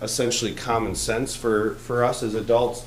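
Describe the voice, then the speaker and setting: Heard with audible room echo and noticeable background noise, a man speaks at medium pitch. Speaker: school superintendent. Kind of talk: presentation to a public board meeting.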